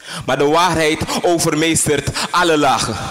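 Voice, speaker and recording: In a dramatic tone, a man with a fairly high pitch speaks at a fairly slow pace. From Suriname. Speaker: spoken word poet. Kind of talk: spoken word poem performance, intense and confessional. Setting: stage with audience. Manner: dramatic, slow and deliberate with pauses, repeating lines for emphasis. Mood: somber, intense. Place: stage.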